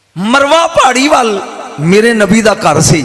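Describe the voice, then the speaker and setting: A high-pitched man talks over noticeable background noise. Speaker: religious preacher giving a sermon. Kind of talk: Islamic sermon delivered to a live audience. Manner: emphatic, theatrical, with audience interjections.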